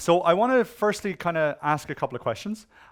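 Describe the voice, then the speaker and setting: A man with an Irish accent speaks with lively intonation on a very clean recording with a silent background. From Ireland. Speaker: conference speaker on web security. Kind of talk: conference talk. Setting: stage with audience. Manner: animated.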